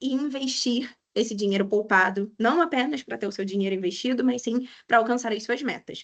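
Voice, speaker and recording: Her voice is fairly high, with ordinary pitch variation. The woman speaks at a fairly quick pace. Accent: strong Rio de Janeiro. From Brazil, Rio de Janeiro. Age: 30s. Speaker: economist and financial educator. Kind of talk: webinar lecture. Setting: online webinar.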